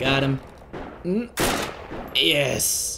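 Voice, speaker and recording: The tone is animated, with very wide pitch swings. Noticeable background noise runs underneath. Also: man. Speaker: gaming YouTuber. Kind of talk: gameplay commentary. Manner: casual, animated; whispering.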